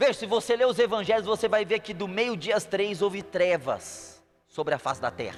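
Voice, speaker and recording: A man's high-pitched, lively voice at a moderate pace with music in the background. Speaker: preacher. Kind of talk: sermon.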